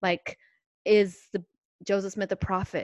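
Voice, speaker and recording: A woman with an unremarkable speaking voice and medium pitch talks at a moderate pace, the sound dry and close with no echo. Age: 40s. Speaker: religious podcast co-host. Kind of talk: faith testimony conversation.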